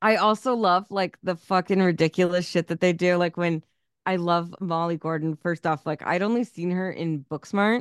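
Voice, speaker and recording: Against a quiet background, a woman with a fairly low pitch and a plain, everyday voice speaks with fairly even intonation in a dry, close sound with no echo. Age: 30s. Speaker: podcast co-host. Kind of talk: casual chat.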